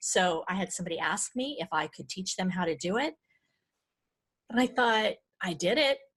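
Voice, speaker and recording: A woman with an American accent, medium pitch, lively intonation, a moderate pace and long, frequent pauses. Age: 50s. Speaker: decluttering coach and author. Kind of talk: podcast interview. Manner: halting.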